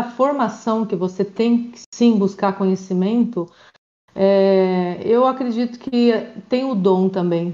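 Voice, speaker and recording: A woman's voice sits at a medium pitch and has a dark, mellow tone. Her pitch varies in an ordinary way. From Brazil, Paraná (Maringá). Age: 40s. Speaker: volleyball coach and emotional coach. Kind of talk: casual interview.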